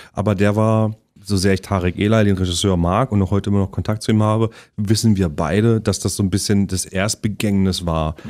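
A plain, everyday voice speaks at a fairly quick pace with fairly even intonation. The background is quiet. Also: man, fairly low pitch for a man. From Halle (Saale), Saxony-Anhalt, Germany. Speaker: actor and musician. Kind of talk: casual interview chat. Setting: studio. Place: studio.

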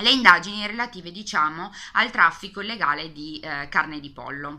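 A woman with a Piedmontese accent, bright and sharp in tone, with lively intonation at a moderate pace. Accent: Piedmontese Italian. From Piedmont, northern Italy. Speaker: book youtuber. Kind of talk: casual video book tag. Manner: hesitant, many fillers. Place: home room. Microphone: webcam.

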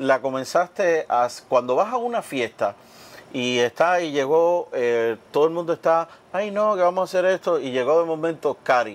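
With lively intonation, a man with a fairly high pitch speaks at a moderate pace. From Cuba, Oriente (eastern Cuba), countryside. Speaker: cooking show host. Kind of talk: casual cooking show chat. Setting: studio kitchen. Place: studio. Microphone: lapel.

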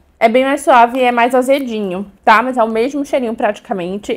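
Her tone animated, a woman speaks at a high pitch with ordinary pitch variation. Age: 20s. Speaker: beauty and perfume youtuber; perfume youtuber. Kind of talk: product haul video. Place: home room. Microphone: lapel.

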